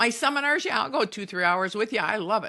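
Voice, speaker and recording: A woman speaks with a bright, sharp tone that is animated. The background is quiet. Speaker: spiritual podcast host. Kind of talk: teaching monologue. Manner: fast.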